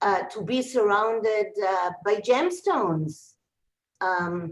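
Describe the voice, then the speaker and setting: A woman's voice, very slow, with ordinary pitch variation. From Israel, Tel Aviv. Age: 70s. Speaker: gemologist and healer. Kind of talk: interview. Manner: halting, many fillers.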